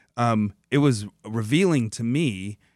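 On a very clean recording with a silent background and a dry, close sound with no echo, a man with an American accent speaks at fairly low pitch with ordinary pitch variation. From US Midwest (Dearborn, Michigan). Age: 40s. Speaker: comic book writer. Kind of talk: radio interview. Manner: halting, many fillers and repetitions.

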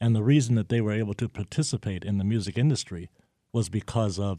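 Against a quiet background, a man with an American accent speaks in a fairly low, dark, mellow voice with ordinary pitch variation and a dry, close sound with no echo. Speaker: soul musician. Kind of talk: radio interview. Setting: studio.

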